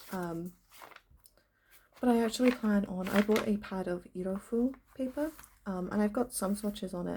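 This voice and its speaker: Her voice is somewhat breathy, a woman speaking at a medium pitch. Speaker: stationery vlogger. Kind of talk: casual vlog talk. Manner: halting with many ums.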